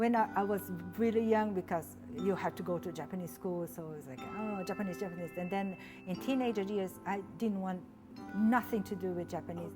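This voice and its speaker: Music plays in the background as a woman speaks at a fairly quick pace. Her pitch is medium, with ordinary variation. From São Paulo, Brazil. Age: 40s. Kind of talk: interview answer.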